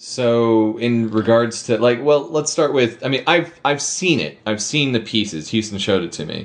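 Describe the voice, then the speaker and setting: At a moderate pace and with hardly any pauses, a man with an American accent uses an unremarkable speaking voice, medium in pitch, with lively intonation. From Minnesota. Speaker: podcast host. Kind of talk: casual interview chat.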